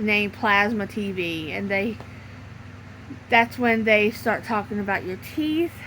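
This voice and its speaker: Speaking fairly slowly with long, frequent pauses, a woman varies her pitch in an ordinary way. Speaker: YouTuber. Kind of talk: casual vlog monologue. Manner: halting.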